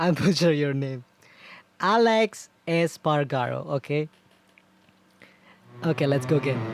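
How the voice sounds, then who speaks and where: A man with a non-native accent, ordinary pitch variation, a fairly slow pace and long, frequent pauses. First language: not English. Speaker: gaming youtuber. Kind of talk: gameplay commentary. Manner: halting.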